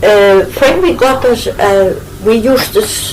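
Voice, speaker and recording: A woman with a Shetland accent speaks at a very slow pace. Her pitch swings very widely, and background noise is noticeable. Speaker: interviewee recalling her childhood school days. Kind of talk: oral history interview answer.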